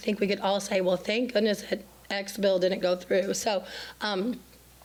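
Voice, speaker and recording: A fairly high-pitched woman at a moderate pace, with monotone, flat intonation and noticeable background noise. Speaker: state legislator. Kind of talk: public forum update. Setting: city council chambers. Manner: halting.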